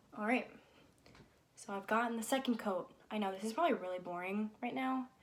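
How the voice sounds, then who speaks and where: With an American accent, a woman speaks at a fairly quick pace and medium pitch with ordinary pitch variation, noticeable background noise behind her. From Connecticut, US. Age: 20s. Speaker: college student and vlogger. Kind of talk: casual vlog chat while painting. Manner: casual, hesitant with fillers.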